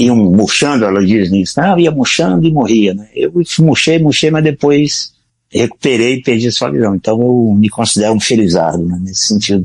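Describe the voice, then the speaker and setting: A man talks in a normal speaking voice. His pace is moderate and his intonation lively. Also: medium pitch for a man. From Brazil, Ceará (Northeast). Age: 60s. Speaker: retired-age programmer, blind since infancy. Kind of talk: podcast interview.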